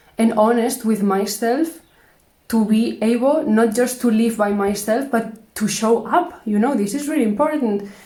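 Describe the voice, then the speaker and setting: Audible room echo surrounds a woman's voice. She speaks with a Spanish accent at a fairly high pitch. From Spain. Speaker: vlogger. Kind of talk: casual monologue vlog. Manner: hesitant, halting.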